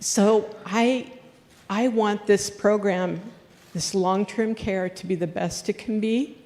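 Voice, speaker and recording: A woman with an American accent speaks at a very slow pace in a medium pitch, her intonation fairly even, with noticeable background noise behind her. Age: 60s. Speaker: union leader and home care worker. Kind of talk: public question at a town hall.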